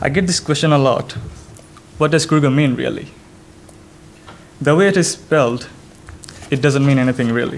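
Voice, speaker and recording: A man with a Bengali accent, fairly high in pitch and fairly quick in pace, with ordinary pitch variation, long, frequent pauses and audible room echo. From Bangladesh. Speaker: software developer. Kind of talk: conference talk. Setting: stage with audience.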